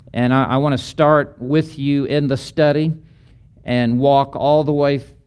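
With a plain, everyday voice, a man speaks at a medium pitch and a fairly slow pace. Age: 60s. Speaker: pastor and seminary lecturer. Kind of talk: lecture.

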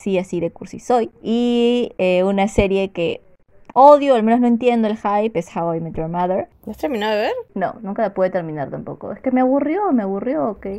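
At a moderate pace, a woman speaks in a fairly high pitch with a dark, mellow tone and lively intonation. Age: 20s. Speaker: podcast co-host, public relations worker. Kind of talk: casual chat.

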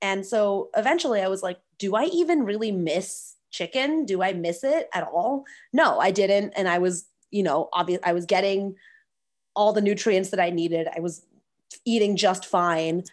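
A woman with an ordinary speaking voice and a medium pitch talks at a moderate pace with lively intonation. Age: 20s. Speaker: food allergy patient and social media creator. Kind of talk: casual interview.

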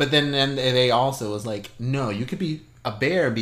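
A man talks in a normal speaking voice, moving at a moderate pace and varying his pitch in an ordinary way. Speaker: podcast co-host. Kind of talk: casual chat.

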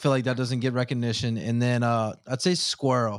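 Recorded very cleanly against a silent background with a dry, close sound and no echo, a man with an unremarkable speaking voice speaks at a medium pitch and a moderate pace. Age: 20s. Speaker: engineer and podcast host. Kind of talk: casual chat.

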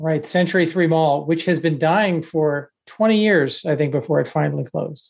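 In a plain, everyday voice, a man with an American accent talks at a moderate pace with hardly any pauses, his pitch fairly high and its variation ordinary. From Texas. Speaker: podcast co-host. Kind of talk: casual chat.

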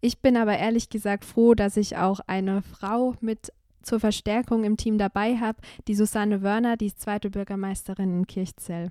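A dark, mellow voice delivers flat, monotone speech at a moderate pace. The recording is very clean, with a silent background and a dry, close sound free of echo. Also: woman, medium pitch for a woman. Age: 20s. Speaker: local councillor. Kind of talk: casual chat.

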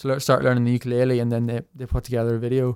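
A man's medium-pitched voice is captured in a very clean recording with a silent background. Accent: Northern Irish. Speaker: musician, tin whistle content creator. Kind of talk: casual interview chat.

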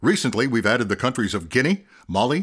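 Here a man talks fairly quickly at a medium pitch, swinging very widely in pitch. The recording is very clean, the background silent. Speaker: radio announcer. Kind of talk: scripted radio introduction.

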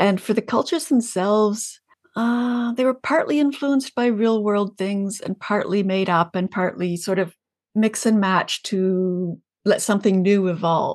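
Speaking at a fairly slow pace, a woman with a Canadian accent has a medium pitch and ordinary pitch variation. The background is quiet. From Canada, Ontario (near Kingston). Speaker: fantasy author. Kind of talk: interview conversation. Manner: halting, many fillers and repetitions.

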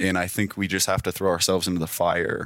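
With an American accent, a man speaks at a very deep, low pitch, and the very clean recording has a silent background and a dry, close sound with no echo. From Utah, Sugar House, Salt Lake City. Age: 20s. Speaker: real estate team leader and house flipper. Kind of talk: interview. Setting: in person, on-location studio.

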